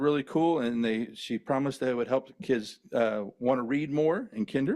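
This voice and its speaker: This man speaks with a Southern US accent. His pitch variation is ordinary. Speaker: foundation volunteer speaking at public comment. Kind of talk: public comment speech. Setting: school board meeting.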